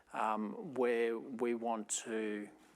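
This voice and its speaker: Here is a man with medium pitch. His intonation stays fairly even. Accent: Australian. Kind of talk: panel discussion. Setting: stage with audience, amplified speaker.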